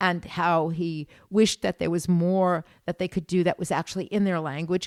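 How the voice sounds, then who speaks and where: A woman with an American accent speaks at a moderate pace in an unremarkable speaking voice, her pitch fairly low. The recording is very clean with a silent background, and the sound is dry and close with no echo. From United States. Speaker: tour guide and art historian. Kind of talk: casual chat.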